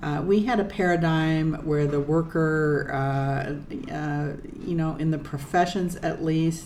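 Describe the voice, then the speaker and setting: A woman with a very deep, low pitch speaks with fairly even intonation, and the room echo is audible. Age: 60s. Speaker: lawyer. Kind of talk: casual monologue. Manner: halting, many fillers.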